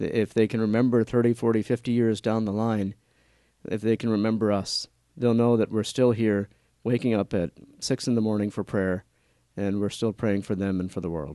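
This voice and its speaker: A man talks at a moderate pace with fairly even intonation and a fairly low pitch. His tone is dark and mellow, and the background is quiet. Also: dry, close sound with no echo. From New Orleans, Louisiana. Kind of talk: interview testimony.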